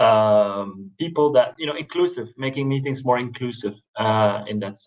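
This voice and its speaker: Speaking with a Belgian accent, a man uses lively intonation at a medium pitch. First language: not English. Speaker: management researcher. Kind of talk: panel discussion. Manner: halting, many fillers.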